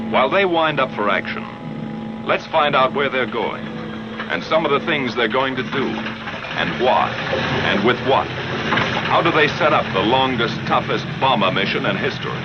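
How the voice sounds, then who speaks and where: The words come at a moderate pace with noticeable background noise behind them. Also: man. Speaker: narrator. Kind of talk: documentary narration.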